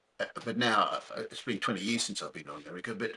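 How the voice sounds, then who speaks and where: The pace of this man's speech is moderate. He talks with an Australian accent. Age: 70s. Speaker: podcast host. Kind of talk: casual interview. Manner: halting, repeats words.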